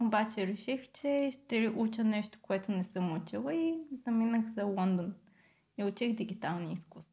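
A woman with a slight Australian accent, somewhat breathy, fairly high-pitched, with a dark, mellow tone, ordinary pitch variation and a moderate pace. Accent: slight Australian English tinge in Bulgarian. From Bulgaria. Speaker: product designer. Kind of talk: interview conversation. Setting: studio.

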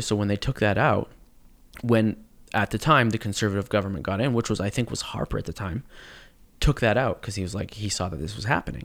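The recording is very clean, its background silent. A man speaks very fast, his pitch varying in an ordinary way. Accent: Canadian. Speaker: actor. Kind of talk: casual chat.

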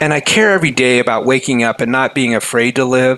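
This man has an unremarkable speaking voice at medium pitch. He talks at a fairly quick pace. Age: 50s. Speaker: motivational author and keynote speaker. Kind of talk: podcast interview.

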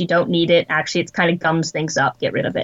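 A woman is talking. Her accent is American. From Wyoming, US. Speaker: experimental archaeologist and tanning expert. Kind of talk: interview; demonstration.

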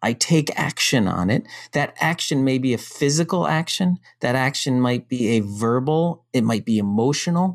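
Captured in a very clean recording with a silent background and a dry, close sound with no echo, a man with an unremarkable speaking voice talks at a medium pitch and moderate pace, with lively intonation and very even loudness. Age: 50s. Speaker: startup founder. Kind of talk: casual chat.

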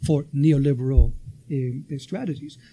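A man is speaking. He has a Spanish accent. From Venezuela. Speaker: professor. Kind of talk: panel talk to a live audience. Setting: university event room with audience.

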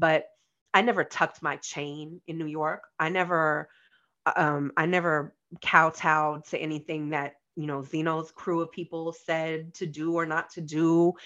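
A woman with a very deep, low voice and a bright, sharp tone speaks fairly slowly in a flat monotone with an American accent against a quiet background. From Los Angeles. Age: 40s. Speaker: music industry executive and former editor. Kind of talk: casual interview.

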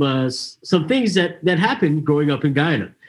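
With a Canadian accent, a man speaks in a normal speaking voice at a fairly high pitch and a fairly quick pace, with ordinary pitch variation. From Canada. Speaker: podcast host. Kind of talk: casual chat.

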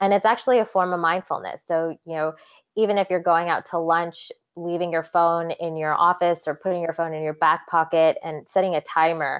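A woman speaks at a fairly quick pace with a fairly low pitch. Her intonation is fairly even. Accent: American. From US West Coast, Santa Cruz, California. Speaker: physician. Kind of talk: interview.

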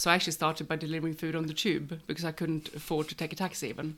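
In a Swedish accent, a woman speaks very fast in a very deep, low, monotone voice, on a very clean recording with a silent background. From Sweden. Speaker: catering business owner. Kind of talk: casual chat.

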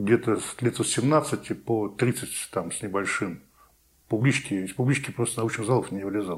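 A man's medium-pitched voice at a fairly slow pace, with ordinary pitch variation, big swings in loudness, and a very clean recording over a silent background. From Saint Petersburg, Russia. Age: 50s. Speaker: real estate forum organizer. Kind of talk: interview. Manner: halting.

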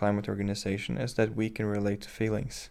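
A man at a fairly low pitch with a Norwegian accent, on a very clean recording with a silent background. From western Norway. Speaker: climate activist. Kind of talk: interview. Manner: halting.

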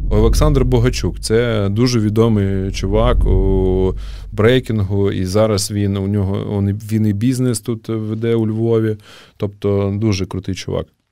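Fairly even intonation marks a man speaking at a fairly slow pace. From Ukraine, Kharkiv. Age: 30s. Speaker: breakdance community founder. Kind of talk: casual interview. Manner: halting with fillers.

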